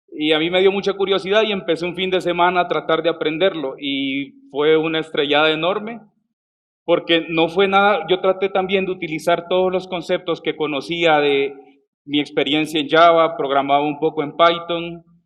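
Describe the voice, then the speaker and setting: Here a man talks at a moderate pace. His pitch is high, and his intonation stays fairly even. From El Salvador. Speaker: software developer, conference speaker. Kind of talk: conference talk. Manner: hesitant, with fillers and restarts.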